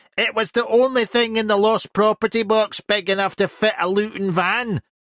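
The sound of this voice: A man's squeaky, put-on character voice, high in pitch, with fairly even intonation and a moderate pace, in a dry, close sound with no echo.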